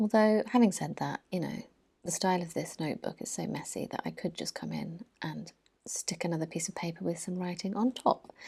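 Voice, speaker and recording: A soft-spoken woman with a British accent talks at a fairly quick pace, with fairly low pitch and ordinary pitch variation. Her dark, mellow tone carries vocal fry on a very clean recording with a silent background. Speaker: art journaling YouTuber. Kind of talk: tutorial voiceover. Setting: at home, early morning. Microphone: mic very close, sound may be weird.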